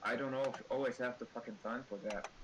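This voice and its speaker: A man talks with a slight non-native accent. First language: not English. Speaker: artist. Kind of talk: casual chat. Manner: halting.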